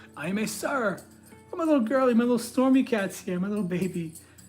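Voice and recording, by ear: A woman speaking very fast with lively intonation, over music in the background.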